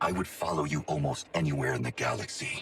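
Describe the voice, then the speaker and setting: Growling in a put-on character voice, a man races along at a very fast pace, his pitch very deep and low. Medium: video game. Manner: formal, blunt, no contractions.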